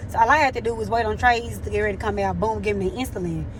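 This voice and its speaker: A woman talks very fast in an animated tone. Noticeable background noise and audible room echo fill the recording. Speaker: nurse vlogger. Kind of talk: casual vlog. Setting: at work in a care facility.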